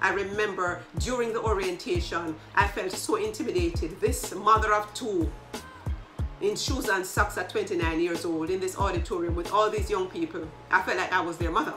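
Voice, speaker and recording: A woman speaks at a moderate pace with clear music in the background. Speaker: leadership coach. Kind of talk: casual vlog chat. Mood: warm, reflective. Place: home room.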